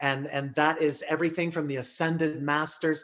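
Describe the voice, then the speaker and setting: A man's fairly high, bright, sharp voice over a quiet background. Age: 60s. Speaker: psychic healer. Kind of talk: interview self-introduction. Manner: halting, many fillers and restarts.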